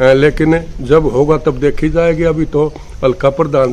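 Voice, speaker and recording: Fairly high-pitched man with monotone, flat intonation. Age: 70s. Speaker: news channel editor and political commentator. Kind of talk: channel outro appeal; political commentary monologue. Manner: hesitant fillers.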